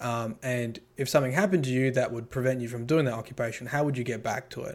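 Speaking at a very fast pace with an Australian accent, a man uses a medium pitch and ordinary pitch variation. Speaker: occupational therapist and YouTuber. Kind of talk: casual chat.

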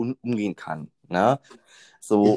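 A man is heard in a dry, close sound with no echo. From Berlin. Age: 20s. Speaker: train conductor. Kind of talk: interview. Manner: hesitant, many fillers.

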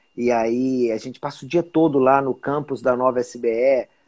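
A man with an unremarkable speaking voice talks at a fairly high pitch with fairly even intonation. The recording is very clean, with a silent background. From Brasília, Brazil. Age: 40s. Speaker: journalist turned entrepreneur. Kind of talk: casual interview on a livestream.

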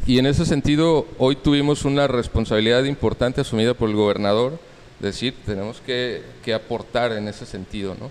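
A man talks in a normal speaking voice at a medium pitch. His pace is fairly quick, with ordinary pitch variation. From Mexico City. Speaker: cultural institute director. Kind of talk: interview answers on culture.

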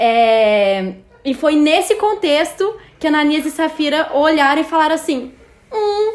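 A woman speaks at a fairly slow pace with an extremely high pitch. Noticeable background noise is present. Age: 20s. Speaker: media producer, Bible study guest. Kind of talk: casual Bible study discussion.

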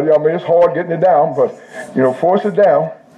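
Very fast speech in an animated tone. Noticeable background noise runs underneath. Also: man. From Indianapolis, US Midwest. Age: 70s. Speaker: pastor. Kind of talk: sermon. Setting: church service with live audience.

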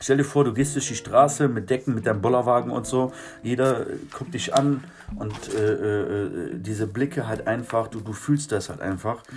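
A man talks at a moderate pace and medium pitch, his pitch varying in an ordinary way, while noticeable background noise carries on behind him. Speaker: street musician. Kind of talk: casual monologue. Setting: garden shed. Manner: animated.

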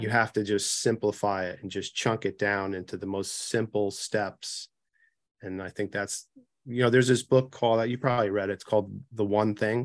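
In a quiet background, a man speaks at a moderate pace with a fairly low pitch and monotone, flat intonation. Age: 50s. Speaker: chiropractor. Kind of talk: interview. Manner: halting.

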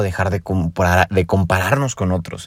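With a Mexican accent, a man speaks at a fairly quick pace and a very deep, low pitch in a very clean recording with a silent background. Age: 20s. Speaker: podcaster. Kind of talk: personal reflection monologue. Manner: casual, conversational.

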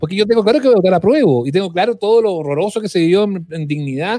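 With a Chilean accent, a man talks at a very fast pace in a high voice, his intonation lively. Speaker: podcast host. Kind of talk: casual chat.

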